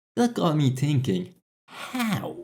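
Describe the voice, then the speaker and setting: The pitch swings very widely. The recording is very clean, with a silent background. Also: man. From Finland. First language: Finnish. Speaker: video essayist. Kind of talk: video essay narration.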